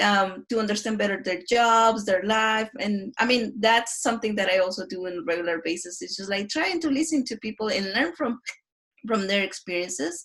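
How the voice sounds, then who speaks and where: A woman speaks at a moderate pace in a fairly high voice. Her intonation is lively. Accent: Mexican. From Mexico. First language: Spanish. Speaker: design researcher. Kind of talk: casual interview.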